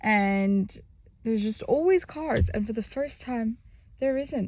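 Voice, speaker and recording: The recording is very clean with a silent background. A somewhat breathy woman speaks with ordinary pitch variation. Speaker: fitness vlogger. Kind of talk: casual vlog. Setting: at home, then gym car park. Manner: soft-spoken.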